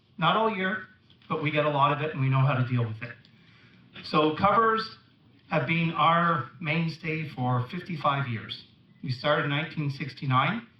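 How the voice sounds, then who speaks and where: A man with a fairly high pitch and ordinary pitch variation, at a moderate pace with long, frequent pauses, in audible room echo. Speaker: company representative, conference speaker. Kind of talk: conference talk. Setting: stage with audience.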